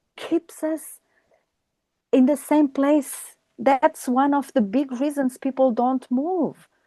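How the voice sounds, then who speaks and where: A woman with a high pitch and a dark, mellow tone speaks at a very slow pace, recorded dry and close with no echo. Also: fairly even intonation. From Australia. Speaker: life coach. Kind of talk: interview conversation.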